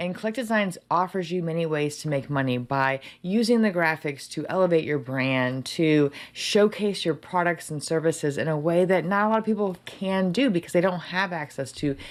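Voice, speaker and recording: A woman speaks in a fairly low pitch. Her tone is animated and her intonation lively. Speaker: software trainer. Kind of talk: live stream tutorial. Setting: live stream. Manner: fast. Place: home room.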